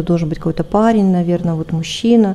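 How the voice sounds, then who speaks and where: Over noticeable background noise, a woman talks at a very fast pace and medium pitch with ordinary pitch variation. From Siberia, Russia. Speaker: spiritual practitioner, ashram host. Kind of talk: interview, personal testimony.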